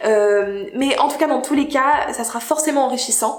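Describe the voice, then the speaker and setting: With audible room echo and noticeable background noise, a woman speaks at a fairly slow pace with ordinary pitch variation. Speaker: YouTuber. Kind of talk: casual vlog monologue. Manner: hesitant, many fillers.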